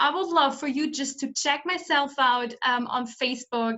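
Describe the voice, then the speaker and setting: A woman with a German accent speaks in a high voice with ordinary pitch variation. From Germany. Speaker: summit host, coach. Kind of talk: interview. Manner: halting.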